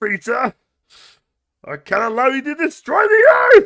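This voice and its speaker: A man shouts in a put-on character voice pitched extremely high for a man. His pace stays moderate. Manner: shouted, dramatic.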